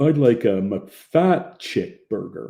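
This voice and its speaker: A man drawls in a put-on character voice at a medium pitch, his pitch swinging very widely. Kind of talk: dim-witted, joking order. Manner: slow, stupid drawl.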